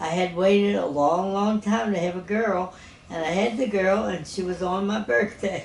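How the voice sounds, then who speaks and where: A woman at medium pitch and a moderate pace, with ordinary pitch variation, audible room echo and noticeable background noise. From New Orleans, Louisiana. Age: 80s+. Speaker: retired teacher. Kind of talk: interview.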